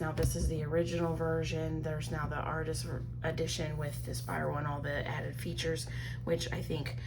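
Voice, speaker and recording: A woman speaks at a fairly quick pace with audible room echo. Music plays in the background. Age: 40s. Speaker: crafting vlogger. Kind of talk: casual chat. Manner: soft-spoken; hesitant, many fillers.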